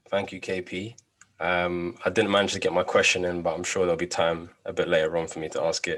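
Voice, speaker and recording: Talking at a fairly quick pace, a man speaks with a London accent. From London, England. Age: 20s. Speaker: no-code project presenter. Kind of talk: project demo presentation.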